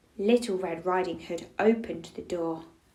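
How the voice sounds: This clip has a natural reading voice with ordinary pitch variation.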